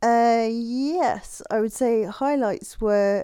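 With an English accent, a woman speaks in a dark, mellow tone with lively intonation. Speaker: designer and health advocate. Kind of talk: interview. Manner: fast; clear enunciation.

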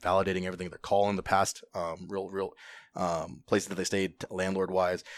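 At a very fast pace, the speaker talks in an American accent on a very clean recording with a silent background. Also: man. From Southern California, Orange County. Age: 20s. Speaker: real estate investor. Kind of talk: casual chat.

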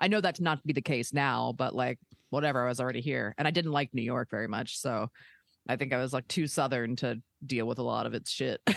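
Speaking at a very fast pace with an American accent, a woman has a very deep, low pitch, vocal fry and ordinary pitch variation, recorded dry and close with no echo against a quiet background. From Maryland, Baltimore area. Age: 30s. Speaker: stand-up comedian. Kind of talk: casual chat.

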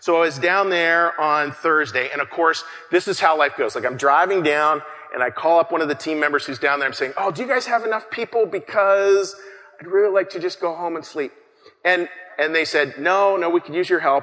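Noticeable background noise behind a fairly quick pace and ordinary pitch variation. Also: man, high pitch for a man. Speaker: pastor. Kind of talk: sermon. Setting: church.

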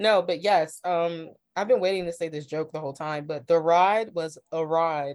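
With an American accent, a woman talks at a moderate pace in a normal speaking voice, her pitch fairly low and her intonation fairly even. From Ohio, US Midwest. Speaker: journalist and freelance cultural writer. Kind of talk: casual chat.

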